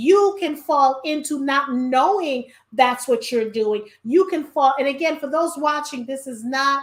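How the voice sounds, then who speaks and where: Speaking with a New York accent, this voice keeps a fairly slow pace and ordinary pitch variation. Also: woman, high pitch for a woman. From New York (Brooklyn). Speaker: podcast host. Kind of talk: casual chat.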